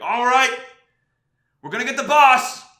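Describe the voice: In a put-on character voice, the speaker projects a raised, gruff voice at a moderate pace, with audible echo. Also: man, extremely high pitch for a man.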